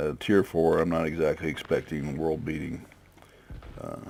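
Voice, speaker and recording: Vocal fry and a very deep, low pitch in a man's voice, moving at a moderate pace. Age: 60s. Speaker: gaming video creator. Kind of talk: gameplay commentary. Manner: casual, halting with many fillers.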